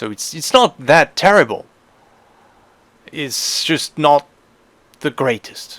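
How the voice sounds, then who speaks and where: Speaking very slowly with a non-native accent, a man uses lively intonation and leaves long, frequent pauses. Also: big swings in loudness. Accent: non-native English pronunciation. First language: not English. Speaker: gaming youtuber. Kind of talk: tutorial voiceover. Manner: hesitant, many filler sounds.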